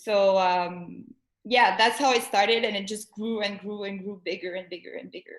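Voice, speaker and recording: With a French accent, a woman talks at a moderate pace and medium pitch, her intonation fairly even. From Montreal, Quebec. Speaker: artist. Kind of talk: casual chat. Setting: live stream.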